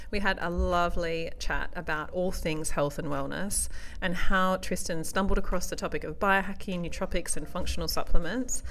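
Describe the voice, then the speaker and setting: A woman speaks with an Australian accent. She leaves hardly any pauses. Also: moderate pace. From Australia, Perth. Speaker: naturopath podcast host. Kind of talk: scripted narration.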